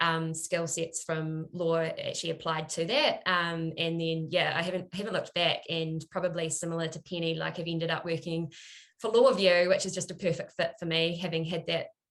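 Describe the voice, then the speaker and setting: A woman with a New Zealand accent talks at a fairly quick pace in a flat, monotone intonation. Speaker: product marketer, former lawyer. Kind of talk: panel discussion.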